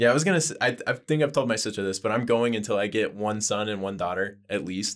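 In an American accent, a man speaks at a very fast pace with a fairly low pitch. The recording is very clean and the background silent. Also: ordinary pitch variation. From New Mexico, then Idaho. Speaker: podcast guest. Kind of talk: casual chat.

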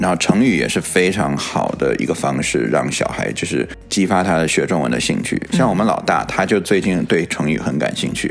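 A man's very deep, low voice, fairly quick and lively in intonation, with hardly any pauses and noticeable background noise. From Chinese-speaking, moved to US in 3rd grade. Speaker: podcast co-host. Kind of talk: casual chat.

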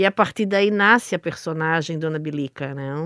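Against a quiet background, a woman speaks in a plain, everyday voice with a dry, close sound and no echo. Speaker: stage actress. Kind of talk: radio interview.

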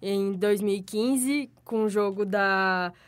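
The recording is very clean, with a silent background. A woman talks with fairly even intonation. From interior of São Paulo state, Brazil. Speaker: sports commentator. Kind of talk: casual chat.

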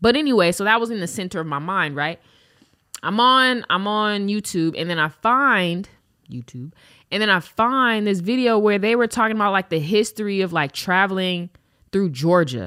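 A woman with a medium pitch and a bright, sharp tone, lively intonation and an animated tone at a moderate pace, on a very clean recording with a silent background. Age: 20s. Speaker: podcast host. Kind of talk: casual monologue.

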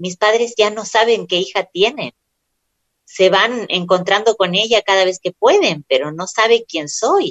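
At a fairly slow pace, a woman with an unremarkable speaking voice talks in a fairly high pitch with ordinary pitch variation. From Argentina, Córdoba. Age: 30s. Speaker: writer and actress. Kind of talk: interview.

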